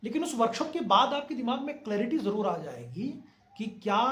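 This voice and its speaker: With noticeable background noise behind him, a man speaks at a moderate pace with lively intonation. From Bihar, India. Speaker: actor and acting coach. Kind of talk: acting advice talk to camera.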